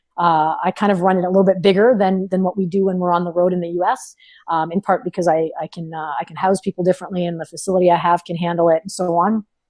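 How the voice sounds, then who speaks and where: A woman with a Canadian accent rushes along very fast, her loudness swinging widely, in a dry, close sound with no echo. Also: fairly low pitch for a woman, hardly any pauses. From Ontario, Canada (small town). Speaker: powerlifting coach and former bodybuilder. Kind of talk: podcast interview. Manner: animated, with many fillers and repetitions.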